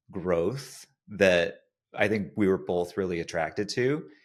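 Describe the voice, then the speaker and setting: On a very clean recording with a silent background, a man with an American accent speaks at a fairly slow pace in a very deep, low voice. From United States. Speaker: podcast host, studio co-founder. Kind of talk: podcast interview.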